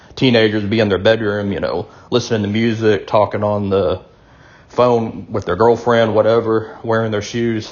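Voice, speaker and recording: The man's voice holds a medium pitch. His intonation stays flat and monotone. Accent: Southern US. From US South. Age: 40s. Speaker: video blogger. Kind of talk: casual monologue. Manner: hesitant, many fillers.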